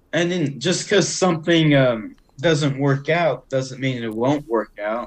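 With a Southern US accent, a man speaks at a fairly slow pace and ordinary pitch variation. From Arkansas. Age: 20s. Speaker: podcaster. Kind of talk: casual chat.

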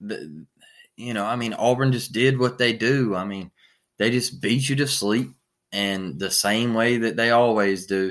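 A man speaks in an ordinary speaking voice at a medium pitch and a fairly slow pace. The recording is very clean, with a silent background. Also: ordinary pitch variation. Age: 30s. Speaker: sports podcast host. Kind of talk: casual sports recap monologue.

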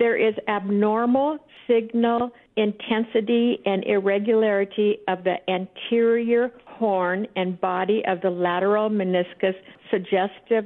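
A woman talks at a fairly slow pace in a normal speaking voice. Her pitch sits in the medium range and her loudness stays very even. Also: fairly even intonation. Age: 60s. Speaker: retired teacher. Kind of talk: casual chat. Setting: phone call.

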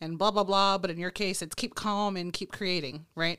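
A woman speaks at a moderate pace in an American accent, her pitch medium. The recording is very clean, with a silent background. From Texas. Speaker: podcast host. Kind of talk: interview. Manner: animated.

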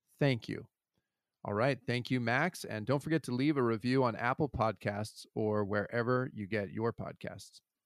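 Over a very clean recording with a silent background, a man has a plain, everyday voice at medium pitch with ordinary pitch variation, speaking at a moderate pace in a dry, close sound with no echo. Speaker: father of child with Down syndrome. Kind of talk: casual chat. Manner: soft-spoken. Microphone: too quiet.

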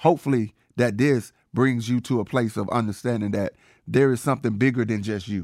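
A man with an American accent and a plain, everyday voice, medium-pitched, at a fairly quick pace with ordinary pitch variation. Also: very clean recording, silent background. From Georgia, US South. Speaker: podcast co-host. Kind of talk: casual chat.

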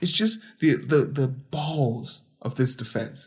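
An animated man with a fairly high pitch speaks with vocal fry. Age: 30s. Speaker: podcast host. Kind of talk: solo commentary podcast. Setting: home, late at night.

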